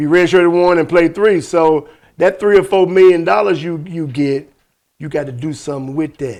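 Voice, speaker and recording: A man is speaking at a moderate pace. His pitch is high. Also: ordinary pitch variation. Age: 60s. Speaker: podcast host. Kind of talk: casual chat.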